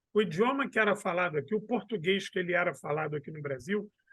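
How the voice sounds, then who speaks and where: A man with a Rio de Janeiro accent and lively intonation. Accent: Carioca. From Brazil, Rio de Janeiro. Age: 40s. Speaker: history professor and historian. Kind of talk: casual interview.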